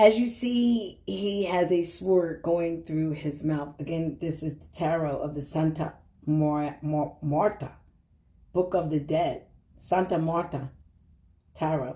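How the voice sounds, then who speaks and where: A woman's dark, mellow, somewhat breathy voice, fairly low in pitch with ordinary variation, very slow, with big swings in loudness. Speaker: tarot reader. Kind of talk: tarot reading monologue. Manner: rambling, halting.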